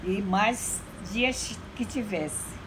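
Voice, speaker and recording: Speaking very slowly, a woman with a medium-pitched voice is heard with audible room echo. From Amapá, Brazil. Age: 80s+. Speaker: church elder. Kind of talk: interview testimony.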